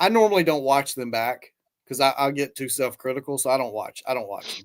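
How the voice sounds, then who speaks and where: A man with a Southern US accent speaks at a fairly quick pace in a fairly high voice. His intonation is lively, and his loudness swings widely. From US South. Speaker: YouTube guest commentator. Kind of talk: casual chat.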